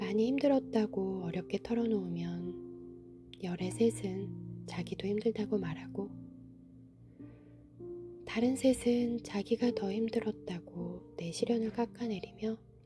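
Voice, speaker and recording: Music plays in the background as a woman speaks. Her tone is calm and her pace very slow. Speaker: book reader (audiobook narrator). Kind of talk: soothing bedtime book reading, essay narration. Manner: soft, calm, slow.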